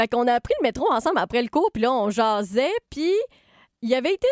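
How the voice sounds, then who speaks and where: In a Quebec accent, a woman speaks at a fairly quick pace, with a dry, close sound with no echo on a very clean recording with a silent background. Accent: Québécois French. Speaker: podcast host and writer. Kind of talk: casual chat.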